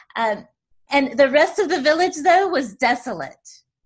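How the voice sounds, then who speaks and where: Lively intonation marks this voice with an American accent. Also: woman. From US South, Tennessee. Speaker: podcast host. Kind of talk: interview.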